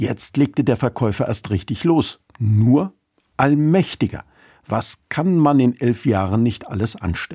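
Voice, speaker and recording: A man's normal speaking voice, medium in pitch, with lively intonation at a fairly slow pace, dry and close with no echo on a very clean recording with a silent background. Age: 50s. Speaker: church radio speaker. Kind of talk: scripted radio devotional.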